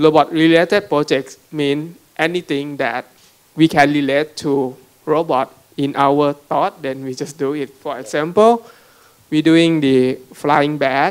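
A man with a Thai accent and a fairly high pitch speaks at a fairly slow pace with fairly even intonation. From Thailand. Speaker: robotics startup CEO; panelist. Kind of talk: panel talk with slides. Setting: conference room with audience. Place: hall. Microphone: handheld.

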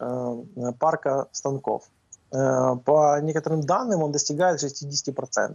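A man speaks at a fairly high pitch. The sound is dry with no echo, and the background is quiet. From Ukraine. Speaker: navy spokesperson. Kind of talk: live TV interview. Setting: remote link-up. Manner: frequent hesitations. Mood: calm, analytical. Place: office. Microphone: video call.

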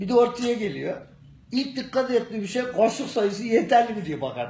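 Audible room echo surrounds a man speaking at a moderate pace with an extremely high voice. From Gerede, Bolu, Turkey. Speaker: local man answering a question. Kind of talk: street interview answer. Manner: humorous, casual. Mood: joking, animated. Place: office. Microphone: phone near.

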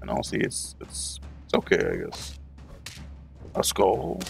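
With faint music in the background, a man talks at a fairly slow pace in a dry sound with no echo. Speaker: gaming YouTuber. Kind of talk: let's play commentary. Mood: relaxed, mildly upbeat. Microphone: headset.

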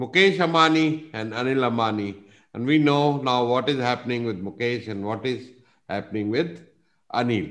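Pitch varies in an ordinary way as a man talks at a moderate pace. Nothing much sounds in the background, which is quiet. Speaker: business coach presenter. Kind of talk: lecture. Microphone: video call.

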